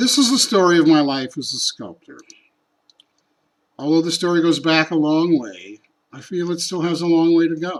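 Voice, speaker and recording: A man with an American accent speaks at a moderate pace and a high pitch. His loudness swings widely, and he leaves long, frequent pauses. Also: ordinary pitch variation. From Chicago, US Midwest. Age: 60s. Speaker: sculptor. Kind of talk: scripted narration.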